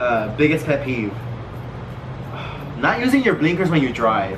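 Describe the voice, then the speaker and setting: With audible room echo and noticeable background noise, a man speaks at a moderate pace with ordinary pitch variation. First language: Spanish. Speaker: vlogger. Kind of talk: casual chat.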